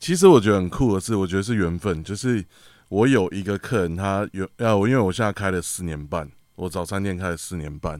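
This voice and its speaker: A man speaks at a fairly quick pace with a very deep, low pitch. The recording is very clean, with a silent background. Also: ordinary pitch variation. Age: 30s. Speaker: drummer and drum teacher. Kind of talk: casual chat.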